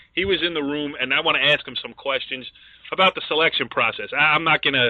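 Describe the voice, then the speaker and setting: A fairly high-pitched man with an American accent at a very fast pace, fairly even in intonation, over noticeable background noise. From northern New Jersey, Bergen County. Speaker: sports talk show host. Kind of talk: sports talk show.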